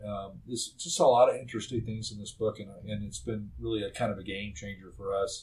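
A man's fairly low voice with a Texan accent, vocal fry, ordinary pitch variation, big swings in loudness and a fairly quick pace with hardly any pauses. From Texas Panhandle (Amarillo). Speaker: medical construction contractor. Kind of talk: casual interview. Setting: studio. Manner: halting with many fillers and repetitions.

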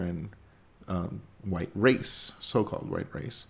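This man has a Spanish accent. He talks fairly slowly. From Mexico. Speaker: podcast co-host, works in video production. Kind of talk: political discussion podcast. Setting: studio downtown.

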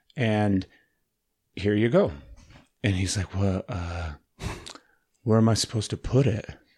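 On a very clean recording with a silent background, a man speaks at a fairly low pitch with ordinary variation. His voice is somewhat breathy, with long, frequent pauses. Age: 30s. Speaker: podcast host. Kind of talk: casual chat. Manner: animated.

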